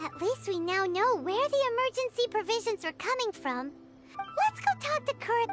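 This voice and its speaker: In a put-on character voice at an extremely high pitch, someone speaks at a moderate pace over loud background music. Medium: video game. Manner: earnest.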